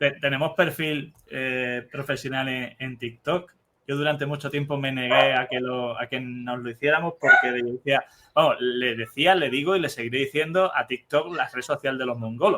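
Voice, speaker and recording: A man's fairly high-pitched voice, a plain, everyday voice. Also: fairly even intonation, moderate pace. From Spain, Cádiz. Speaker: neuropediatrician podcast host. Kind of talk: interview conversation.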